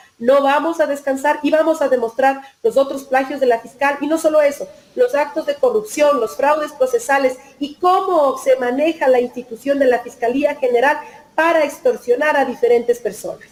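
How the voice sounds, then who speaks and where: The speech moves at a moderate pace with ordinary pitch variation. Noticeable background noise can be heard. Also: woman, high pitch for a woman. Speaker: lawyer-activist, member of a legal collective. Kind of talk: interview. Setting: video call from her office.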